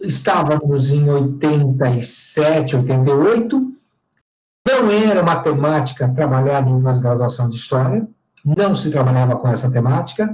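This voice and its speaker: The man's pitch is fairly high. He talks at a very slow pace. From São Paulo city, Brazil. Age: 50s. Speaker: historian and professor. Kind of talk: interview. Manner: halting, repeats words.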